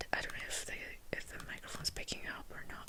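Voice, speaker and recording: Through noticeable background noise, a voice whispers. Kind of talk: whispered ASMR space facts reading, casual talk to camera. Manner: whispering, hesitant, casual.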